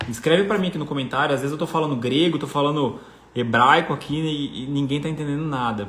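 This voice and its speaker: A fairly high-pitched man talking fairly quickly in an animated tone, with audible room echo and noticeable background noise. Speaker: personal finance coach. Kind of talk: live online class.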